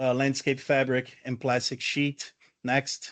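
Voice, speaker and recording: A man with a Brazilian accent and fairly high pitch speaks against a quiet background. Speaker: landscaping educator. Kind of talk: lecture.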